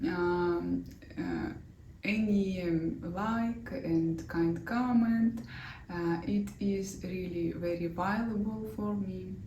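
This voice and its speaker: With a Russian accent, a woman speaks very slowly in a fairly low voice with lively intonation, and the room echo is audible. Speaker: knitting designer and vlogger. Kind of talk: knitting vlog. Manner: halting, many fillers.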